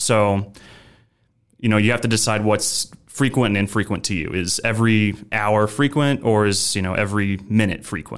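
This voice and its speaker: Over a silent background in a very clean recording, a man speaks at a moderate pace with fairly low pitch and fairly even intonation. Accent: Midwestern. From Nebraska, US Midwest. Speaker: controls engineer. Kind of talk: interview about machine safety.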